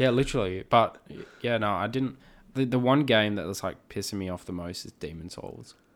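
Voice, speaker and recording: Here a man talks at a fairly quick pace. His fairly low voice shows ordinary pitch variation. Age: 20s. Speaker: film industry worker. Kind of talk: casual chat.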